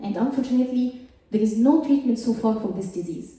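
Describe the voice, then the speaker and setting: A woman with a high voice speaks at a moderate pace with lively intonation. Room echo is audible and background noise is noticeable. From Egypt. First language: Arabic. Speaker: scientist. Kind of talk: stand-up. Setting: stage with audience.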